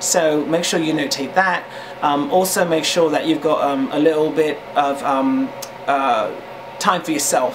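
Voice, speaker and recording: At a fairly slow pace, a man with a fairly high pitch speaks with ordinary pitch variation amid noticeable background noise and audible room echo. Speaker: vlogger. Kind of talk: casual advice talk. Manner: hesitant, many fillers.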